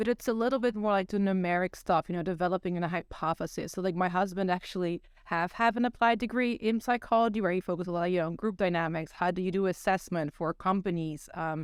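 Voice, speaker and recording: With a Dutch accent, a woman at a medium pitch talks at a very fast pace with hardly any pauses and ordinary pitch variation, in a dry, close sound with no echo. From Netherlands. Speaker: psychology PhD student. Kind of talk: podcast interview.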